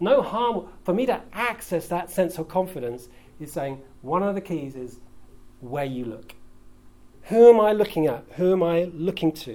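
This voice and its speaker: This man has a British accent and a high voice with lively intonation. He keeps a moderate pace, and his loudness swings a lot. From UK. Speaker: pastor. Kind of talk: sermon.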